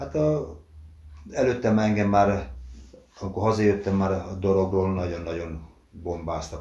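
This man has a very deep, low pitch and a dark, mellow tone, somewhat breathy. He speaks at a fairly slow pace with fairly even intonation, and audible room echo surrounds him. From Hungary, Dorog (Komárom-Esztergom county). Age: 60s. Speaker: retired footballer and museum guide. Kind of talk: interview, reminiscing about career. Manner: halting, many fillers.

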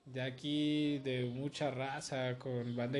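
Using a medium pitch and monotone, flat intonation, a man speaks with a Mexican accent. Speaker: graffiti artist and podcast host. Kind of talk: casual chat.

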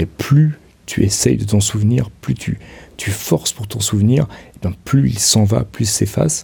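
A man speaks at a fairly slow pace with a fairly low pitch and a dark, mellow, somewhat breathy tone. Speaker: podcaster. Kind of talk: personal monologue. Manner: halting, many hesitations.

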